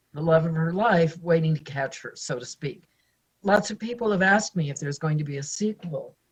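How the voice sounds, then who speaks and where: A woman with an American accent talks at a fairly quick pace in a fairly low, somewhat breathy voice, with ordinary pitch variation and big swings in loudness. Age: 70s. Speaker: author. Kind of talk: interview.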